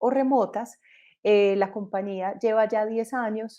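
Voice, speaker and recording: A woman with a Colombian accent, fairly high-pitched yet dark and mellow in tone, with ordinary pitch variation at a fairly slow pace against a quiet background. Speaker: entrepreneur. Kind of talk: panel discussion.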